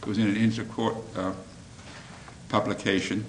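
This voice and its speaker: At a fairly quick pace, a man with an Australian accent speaks at medium pitch, with audible room echo and noticeable background noise. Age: old. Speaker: former judge and mediator. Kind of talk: speech to lawyers.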